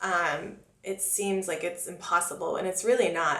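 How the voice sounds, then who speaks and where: In a Californian accent, a woman speaks at a moderate pace and medium pitch with ordinary pitch variation, amid noticeable background noise and audible room echo. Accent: American, with Californian vernacular. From US, Florida (Oviedo, near Orlando). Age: 20s. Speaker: makeup artist and beauty vlogger. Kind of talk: casual Q&A vlog. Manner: chatty, talkative.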